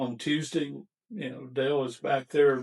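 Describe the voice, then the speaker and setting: In an American accent, a man speaks at a moderate pace in a normal speaking voice. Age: 60s. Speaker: barbecue restaurant owner. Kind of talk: podcast interview.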